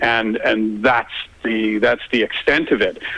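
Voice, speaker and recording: A Canadian accent at a fairly slow pace, against noticeable background noise. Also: man. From Canada. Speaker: light artist, artistic director. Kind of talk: phone interview. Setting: phone call. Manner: repetitive, stammering restarts.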